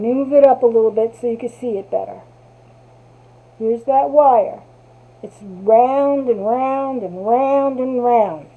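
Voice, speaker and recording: With an American accent, a woman speaks at a high pitch and a fairly slow pace, using ordinary pitch variation, big swings in loudness, and long, frequent pauses. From New Jersey. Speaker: crafter. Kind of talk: tutorial. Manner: casual.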